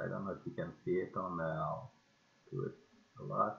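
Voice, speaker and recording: At a moderate pace, a man talks in a French accent. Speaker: amateur radio operator. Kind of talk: casual project demo to camera. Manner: hesitant, many filler sounds.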